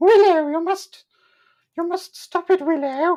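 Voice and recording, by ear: In a put-on character voice, a female-sounding voice at an extremely high pitch speaks at a fairly slow pace.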